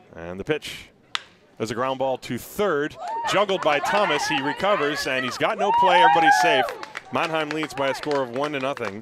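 Over noticeable background noise, the voice sounds animated in tone with lively intonation. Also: man, fairly high pitch for a man. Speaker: baseball play-by-play announcer. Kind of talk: live sports commentary, play-by-play. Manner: fast-paced, animated, rising excitement on big plays; clipped, rapid-fire play calling.

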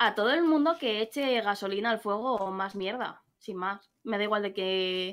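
With a Madrid accent, the speaker talks at a fairly slow pace with ordinary pitch variation. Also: woman. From Madrid, Spain; Spain. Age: 30s. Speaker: gamer. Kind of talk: casual chat. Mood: frank, slightly annoyed. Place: home room. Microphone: video call.

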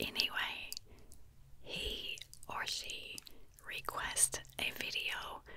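The speaker is a woman, and she whispers. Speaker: ASMR creator. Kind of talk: soft-spoken ASMR chat and storytelling. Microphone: studio mic.

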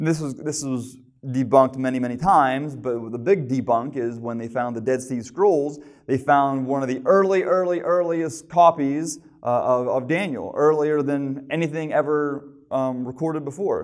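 Quiet background behind a male speaker, moderate pace and ordinary pitch variation. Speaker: preacher. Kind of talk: sermon. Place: church. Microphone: lapel.

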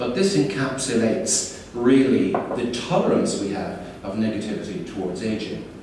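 Intonation is lively at a moderate pace. There is noticeable background noise and strong room echo. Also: man. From Ireland. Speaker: keynote speaker. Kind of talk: keynote lecture. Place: hall. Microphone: camera far.

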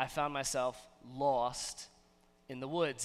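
A man's voice has a bright, sharp tone. The background is quiet. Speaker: pastor. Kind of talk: sermon. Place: church. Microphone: headset.

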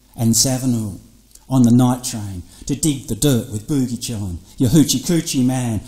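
Against a quiet background, a man speaks at a medium pitch with ordinary pitch variation. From Australia. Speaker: poet. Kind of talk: performance poetry over electronic music. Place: studio. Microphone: studio mic.

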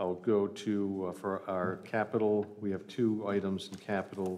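Monotone and flat, a man's very deep, low voice carries the speech. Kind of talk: budget presentation. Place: hall. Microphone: podium.

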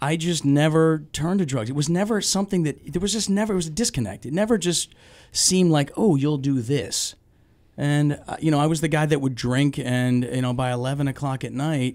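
In a quiet background, a man speaks fairly quickly with lively intonation. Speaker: guest. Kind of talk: interview answer. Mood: reflective, candid. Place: studio. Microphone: studio mic.

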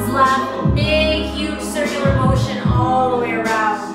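A woman speaks at a fairly slow pace over loud background music, with audible room echo. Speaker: yoga instructor. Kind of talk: guided class instruction. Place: home room. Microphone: camera far.

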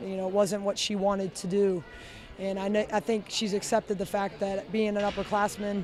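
Monotone, flat intonation at a fairly quick pace, in a dry sound with no echo over light background noise. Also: woman. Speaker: head coach. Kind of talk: interview answer. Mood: pleased, measured. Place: stadium. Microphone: handheld.

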